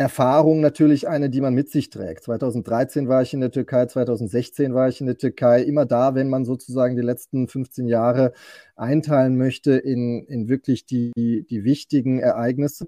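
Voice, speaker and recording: In a very clean recording with a silent background and a dry, close sound with no echo, a man with a dark, mellow tone talks at a medium pitch and a fairly slow pace with fairly even intonation. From Germany. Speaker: podcast guest who lived in Istanbul. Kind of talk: casual chat. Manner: halting.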